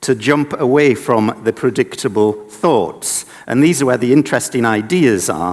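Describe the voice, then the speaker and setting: A man with a northeast English accent at medium pitch, moderate pace and ordinary pitch variation. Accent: northeast England (Sunderland). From northeast England (Sunderland). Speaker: inventor and designer running a children's invention project. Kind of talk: conference presentation.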